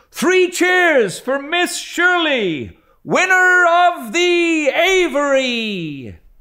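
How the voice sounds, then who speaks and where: At a very slow pace, a put-on character voice speaks in an extremely high pitch. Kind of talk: dramatic reading aloud. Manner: cheering, shouted.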